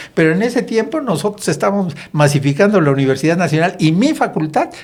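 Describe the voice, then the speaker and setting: Over noticeable background noise, a man speaks very fast at a high pitch, with lively intonation and very even loudness. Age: 70s. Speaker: politician. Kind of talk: podcast discussion.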